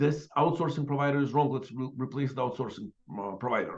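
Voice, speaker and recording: The speaker is a man with a somewhat breathy voice. His pitch sits fairly high. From Ukraine, Odessa. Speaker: tech CEO and author. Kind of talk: podcast interview.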